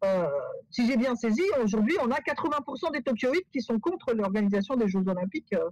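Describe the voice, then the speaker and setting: Recorded with a dry, close sound and no echo, a woman talks in a fairly high pitch with lively intonation. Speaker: professor. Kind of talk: webinar Q&A answer. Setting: video call webinar. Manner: halting, many repetitions and fillers.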